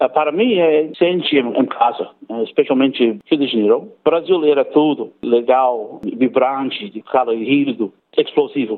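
Lively intonation at a fairly slow pace. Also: man. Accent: English. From Australia, Cairns, Queensland. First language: English (speaking Portuguese). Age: 40s. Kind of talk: interview. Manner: halting.

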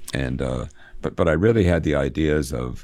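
Showing vocal fry and a dark, mellow tone, a man speaks at a very deep, low pitch with ordinary pitch variation. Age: 60s. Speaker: college literature instructor and radio host. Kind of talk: interview. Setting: studio. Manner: halting.

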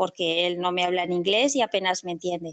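In a dry, close sound with no echo, a woman speaks at a moderate pace. She has a normal speaking voice at medium pitch. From Spain, Castellón. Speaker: university English teacher, children's bookshop owner. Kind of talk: casual interview.

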